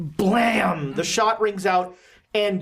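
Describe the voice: The text is read aloud. It is plain reading aloud.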